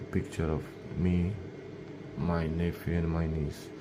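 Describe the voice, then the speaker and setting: A man with a very deep, low voice and a non-native accent speaks at a moderate pace amid noticeable background noise. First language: not English. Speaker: laser engraving hobbyist / YouTuber; YouTuber. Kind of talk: tutorial. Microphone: phone near.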